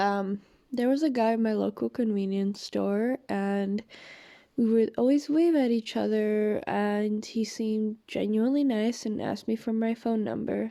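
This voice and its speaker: A woman's fairly high voice with a dark, mellow tone, at a fairly slow pace, on a very clean recording with a silent background. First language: not English. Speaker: vlogger telling personal story. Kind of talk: personal testimony. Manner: hesitant, many fillers.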